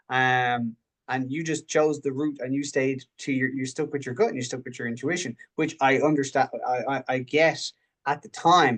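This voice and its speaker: Speaking with an Irish accent, a man uses a fairly high voice with big swings in loudness. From Ireland. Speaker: mindset coach. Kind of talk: coaching talk in group video session. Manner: halting, many repetitions and false starts.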